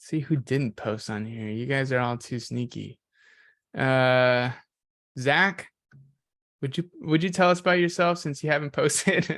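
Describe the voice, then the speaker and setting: A man with an American accent speaks at a fairly slow pace, his pitch fairly high and its variation ordinary. He leaves long, frequent pauses against a quiet background. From San Jose, California. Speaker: bootcamp instructor. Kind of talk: online class, leading introductions.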